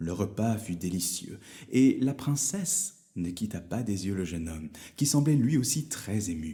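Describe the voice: Someone reads aloud in a plain way. Their intonation stays lively.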